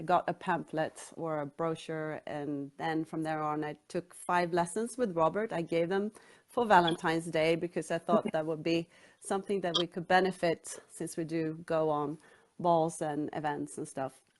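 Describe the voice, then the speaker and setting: A woman speaks with a Swedish accent at a moderate pace. Her voice is fairly low, and her intonation is fairly even. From Sweden, Stockholm. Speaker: author. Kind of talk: interview.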